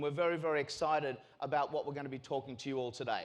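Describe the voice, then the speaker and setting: Here a man talks with an Australian accent. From Australia, North Shore of Sydney. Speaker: sales and marketing executive. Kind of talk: keynote speech. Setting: stage with audience. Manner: casual, filler-heavy.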